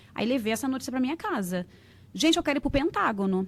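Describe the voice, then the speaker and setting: A woman's high voice at a very fast pace, full of very wide pitch swings. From Rio de Janeiro, Brazil (Realengo). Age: 40s. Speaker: entrepreneur, English school owner. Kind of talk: podcast interview.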